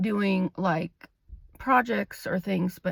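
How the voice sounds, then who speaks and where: The woman's voice comes across somewhat breathy. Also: dry, close sound with no echo. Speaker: licensed clinical social worker. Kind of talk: casual vlog talk to camera. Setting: in a car.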